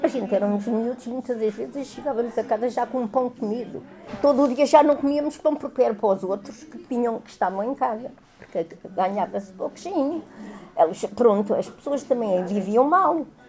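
A high-pitched woman speaks at a moderate pace with lively intonation and big swings in loudness. Background noise is noticeable. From Lisbon, Portugal. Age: 80s. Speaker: elderly resident recalling the past. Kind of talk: interview testimony.

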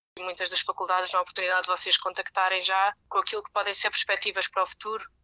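The sound is dry and close with no echo, the tone bright and sharp. Delivery comes at a very fast pace with monotone, flat intonation. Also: woman. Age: 20s. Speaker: master's student. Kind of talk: advice to new students.

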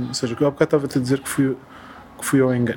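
Noticeable background noise runs under this recording. The man's voice is fairly high-pitched. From Portugal, Coimbra. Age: 40s. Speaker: film director and architect. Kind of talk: interview. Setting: at home in a Lisbon flat. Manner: halting, with repetitions.

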